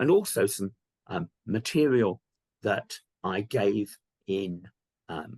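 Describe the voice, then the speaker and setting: With a British accent, a man of fairly low pitch speaks very slowly with long, frequent pauses and ordinary pitch variation, in a dry, close sound with no echo. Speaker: archaeology professor. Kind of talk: lecture. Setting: virtual lecture. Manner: hesitant, many ums.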